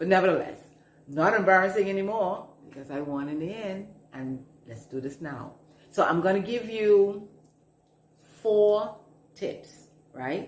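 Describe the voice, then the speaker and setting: In a Bahamian accent, a woman of medium pitch speaks with very wide pitch swings, audible room echo and noticeable background noise. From Bahamas. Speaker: management coach. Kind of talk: advice talk to camera. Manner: slow.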